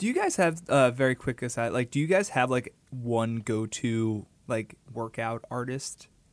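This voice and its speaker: At a fairly slow pace and with hardly any pauses, a man uses an ordinary speaking voice of medium pitch and ordinary pitch variation. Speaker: podcast co-host, music critic. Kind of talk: casual chat.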